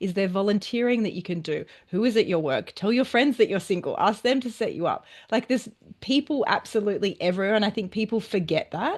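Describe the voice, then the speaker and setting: With an Australian accent, a woman speaks very fast at a fairly high pitch against a quiet background. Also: ordinary pitch variation. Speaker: relationship and dating coach. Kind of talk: interview.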